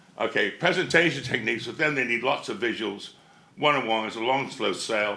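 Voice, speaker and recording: Amid music in the background and audible room echo, a man with a medium pitch talks at a very fast pace. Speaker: conference speaker. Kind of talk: conference presentation. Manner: loud.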